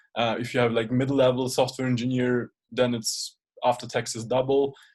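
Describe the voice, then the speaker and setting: A man's medium-pitched, monotone voice, flat in intonation, at a fairly quick pace. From Germany, Munich. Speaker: software career mentor, interviewer. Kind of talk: casual interview chat. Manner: hesitant, many fillers.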